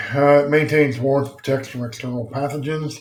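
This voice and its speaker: A man's voice comes across somewhat breathy, with fairly even intonation. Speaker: EMS instructor. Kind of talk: lecture. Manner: casual, many fillers.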